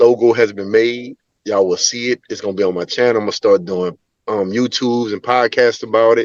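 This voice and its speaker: A man speaks in a normal speaking voice at a medium pitch and a fairly quick pace. His intonation is fairly even, and the sound is dry and close with no echo. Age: 40s. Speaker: pilot car driver, former truck driver. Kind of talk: casual chat.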